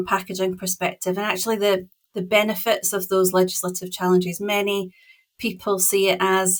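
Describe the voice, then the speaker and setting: A woman of medium pitch with a Scottish accent. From Scotland, west coast island. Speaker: packaging consultant. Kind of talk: podcast interview.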